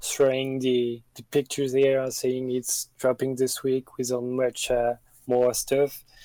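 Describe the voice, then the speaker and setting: In a French accent, the speaker delivers a dark, mellow tone with monotone, flat intonation and a dry, close sound with no echo. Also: man. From France. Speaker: streetwear news page runner. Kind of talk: interview answers. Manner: halting, many fillers.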